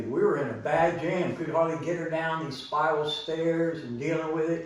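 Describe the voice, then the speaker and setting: A fairly high-pitched man speaks at a fairly slow pace. There is audible room echo and noticeable background noise. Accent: American. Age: 60s. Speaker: vlogger. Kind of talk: personal story told to camera.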